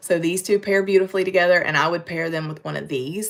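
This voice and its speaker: A woman with a Western North Carolina accent at a moderate pace, amid noticeable background noise. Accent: Western North Carolina, recognizable. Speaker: makeup brand presenter. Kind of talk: live-stream makeup tutorial. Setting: YouTube live stream. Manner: casual, chatty.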